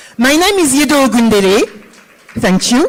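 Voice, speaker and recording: Noticeable background noise runs under this clip. The speaker is a woman with a high voice. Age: 50s. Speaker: finance executive. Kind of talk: conference panel talk.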